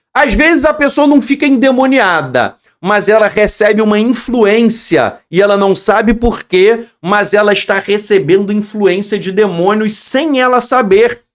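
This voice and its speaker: A man's high-pitched, animated voice at a fairly slow pace with hardly any pauses. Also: ordinary pitch variation. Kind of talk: religious teaching.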